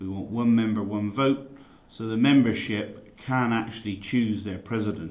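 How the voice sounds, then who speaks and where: In a West Country accent, a man talks at a medium pitch with ordinary pitch variation and audible room echo. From England, Somerset. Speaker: dairy farmer running for union president. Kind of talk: campaign statement. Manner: halting, many fillers.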